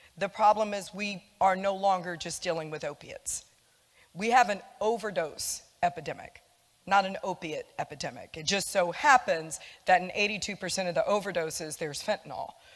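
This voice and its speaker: A woman talks at a fairly quick pace with a medium pitch and ordinary pitch variation. Her volume swings a lot, and the recording is very clean with a silent background. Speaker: public health addiction services manager. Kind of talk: public talk. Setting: church community event. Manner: loud.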